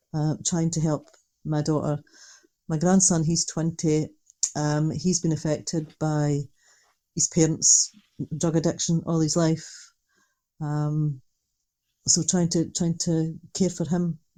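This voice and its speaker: A woman with a Dundee accent speaks at a very deep, low pitch with a dark, mellow tone. Her delivery is monotone and flat, very slow, with long, frequent pauses. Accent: Scottish (Dundee). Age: 60s. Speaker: retired social worker, mother of an addict. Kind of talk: interview.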